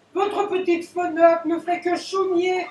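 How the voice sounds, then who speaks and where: A cartoonish character voice at an extremely high pitch runs at a moderate pace in a flat monotone. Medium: puppet show. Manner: insistent, coaxing.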